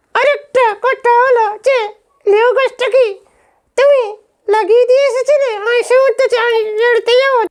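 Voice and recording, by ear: A man puts on a character voice pitched extremely high. He talks at a moderate pace.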